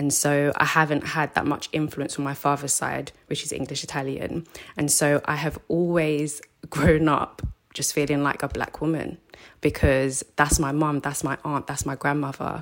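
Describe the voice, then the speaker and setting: A woman with a London accent speaks at a moderate pace. Her voice is very deep and low, with monotone, flat intonation. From South London. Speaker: counselor. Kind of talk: casual chat.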